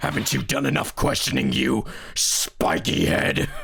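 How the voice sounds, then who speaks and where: Putting on a raspy character voice at a very deep, low pitch, a man speaks at a moderate pace over light background noise. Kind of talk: live game stream voice acting. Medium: role play. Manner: angry, shouting.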